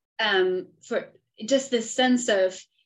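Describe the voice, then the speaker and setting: Speaking with a Spanish accent, a woman goes at a fairly slow pace. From Argentina. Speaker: professor and podcast host. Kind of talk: interview. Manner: halting, many fillers.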